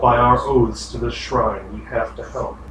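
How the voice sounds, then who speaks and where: A man speaks in a put-on character voice at a moderate pace. There is a slight echo. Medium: actual play.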